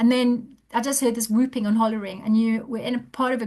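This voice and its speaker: Against a quiet background, a woman speaks at a fairly high pitch in a somewhat breathy voice. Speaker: author, hypnotherapist and marathon runner. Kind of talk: podcast interview conversation. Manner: fast.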